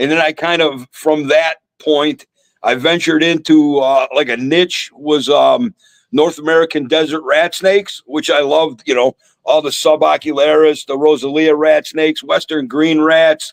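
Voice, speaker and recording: The delivery comes at a moderate pace. Its intonation stays fairly even. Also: man, fairly high pitch for a man. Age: 60s. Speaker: reptile breeder. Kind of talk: casual chat. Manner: halting, repeats words.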